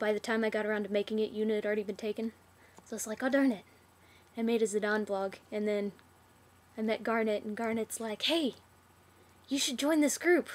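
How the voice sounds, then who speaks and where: A woman at a fairly high pitch with fairly even intonation and long, frequent pauses. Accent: Southern US. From US South. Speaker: vlogger. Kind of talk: casual Q&A vlog. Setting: laptop webcam recording. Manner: casual, hesitant with fillers.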